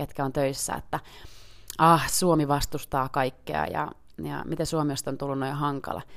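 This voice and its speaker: A woman's very deep, low voice at a moderate pace. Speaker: member of parliament and podcast host. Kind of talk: solo podcast commentary. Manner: casual, with frequent hesitations.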